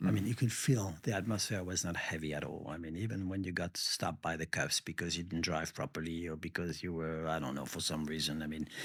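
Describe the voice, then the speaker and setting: A man with a very deep, low pitch, speaking at a very fast pace with ordinary pitch variation and hardly any pauses. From France. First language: French. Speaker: baker, former sommelier. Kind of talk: podcast interview answer.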